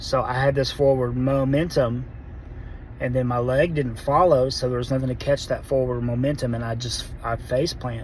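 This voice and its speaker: Over noticeable background noise and audible room echo, a man speaks at a moderate pace in a medium pitch with monotone, flat intonation. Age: 40s. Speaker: vlogger sharing Parkinson's diagnosis. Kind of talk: personal testimony. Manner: halting, self-correcting.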